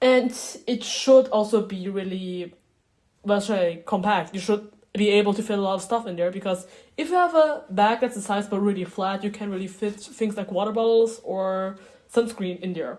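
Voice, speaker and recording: A woman with a German accent, medium-pitched, at a moderate pace with ordinary pitch variation. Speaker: beginner video creator. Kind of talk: casual tutorial vlog. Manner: halting, many fillers.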